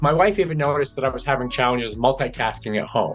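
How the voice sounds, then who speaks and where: Music plays in the background as a man talks at a very fast pace. His pitch variation is ordinary. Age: 60s. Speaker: patient with early-onset Alzheimer's. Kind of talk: personal testimony.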